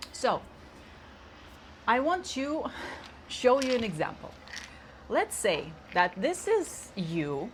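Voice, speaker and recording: A woman with a high pitch and very wide pitch swings speaks at a very slow pace, with long, frequent pauses. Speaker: leadership coach and numerologist. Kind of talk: casual self-help talk with props. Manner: casual, halting with repetitions.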